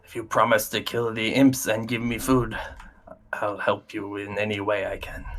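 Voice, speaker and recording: A man puts on a raspy character voice, speaking at a medium pitch and a moderate pace. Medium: actual play.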